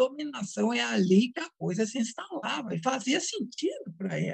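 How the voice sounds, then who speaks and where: This woman talks at a moderate pace. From Brazil, Minas Gerais. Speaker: psychoanalyst and author. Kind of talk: interview.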